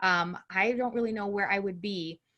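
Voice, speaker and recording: A woman's bright, sharp tone at a moderate pace, with ordinary pitch variation, on a very clean recording with a silent background. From Brazil. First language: Portuguese. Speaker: empowerment coach and court interpreter. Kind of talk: interview.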